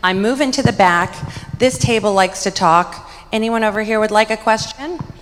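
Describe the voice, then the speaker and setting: Fairly high-pitched and quick, a woman speaks with lively intonation over noticeable background noise. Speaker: conference moderator. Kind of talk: event moderation. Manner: loud.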